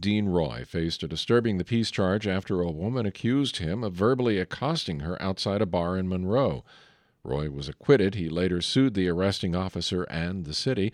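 With an ordinary speaking voice, a man talks at a moderate pace and a fairly low pitch with lively intonation. The sound is dry and close with no echo, over a quiet background. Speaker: radio news host. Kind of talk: newsreading, brisk and formal. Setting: studio. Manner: formal; measured, even-paced.

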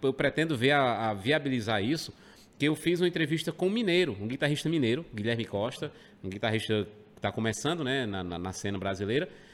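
A man speaks at a very fast pace with very wide pitch swings. The recording is very clean, with a silent background. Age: 40s. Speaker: rock radio presenter. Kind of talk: casual chat. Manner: halting, repeats words.

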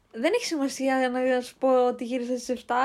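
In a very clean recording over a silent background, a woman talks at a moderate pace in a high voice. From Greece, Kastoria. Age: 20s. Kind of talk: casual chat. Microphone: cheap mics, sounds a bit bad.

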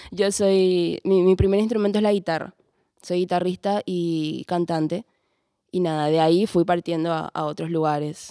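Her voice has a dark, mellow tone and fairly even intonation, delivered at a moderate pace with a dry, close sound and no echo. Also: fairly low pitch for a woman. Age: 20s. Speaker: bassist and singer. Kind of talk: roundtable conversation. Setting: cultural centre recording.

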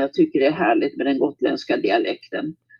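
A man speaks with very wide pitch swings. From Sweden, Nyköping area (Södermanland), early childhood Gotland. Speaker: retired grandmother. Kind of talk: casual interview.

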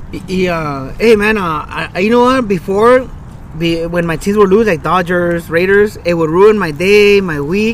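A fairly slow American accent with ordinary pitch variation, amid noticeable background noise. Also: man, high pitch for a man. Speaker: podcast co-host. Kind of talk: casual chat. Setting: outdoors in a park.

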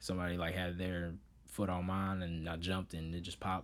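Speaking at a moderate pace with an American accent, a man with a very deep, low voice is heard on a very clean recording against a silent background. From US Midwest (Oak Park, Illinois). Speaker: rapper. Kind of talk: casual interview chat. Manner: halting, many repetitions and fillers.

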